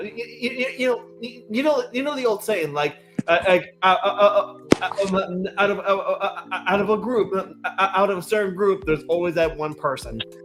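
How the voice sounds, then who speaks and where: Noticeable background noise sits under this recording. The speaker is a man with a high pitch. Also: ordinary pitch variation, moderate pace. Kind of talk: casual chat. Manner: halting.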